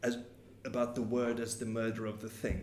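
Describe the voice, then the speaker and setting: A man speaks at a moderate pace with a medium pitch. Audible room echo surrounds his voice. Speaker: psychoanalyst lecturer. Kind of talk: lecture. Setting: meeting hall with audience. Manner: halting, many repetitions.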